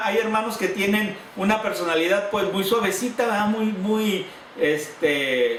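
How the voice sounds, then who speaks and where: A man shouting loudly in a high pitch with a Sinaloan accent, ordinary pitch variation, audible room echo, and noticeable background noise. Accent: Sinaloan Mexican Spanish. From Sinaloa, Mexico. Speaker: pastor. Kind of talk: sermon. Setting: church congregation. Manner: sounds loud, like shouting or scolding; hesitant, with repeated words.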